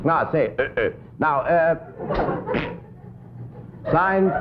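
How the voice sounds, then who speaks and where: Noticeable background noise fills the recording. Over it, a man talks at a fairly slow pace. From Denmark. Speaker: comedian and pianist. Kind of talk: comedy sketch on live TV variety show. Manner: dry, sly humor.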